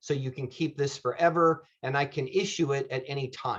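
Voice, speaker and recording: A man with a fairly high pitch and a somewhat breathy voice speaks at a moderate pace. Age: 50s. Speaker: insurance benefits agent. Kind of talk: presentation.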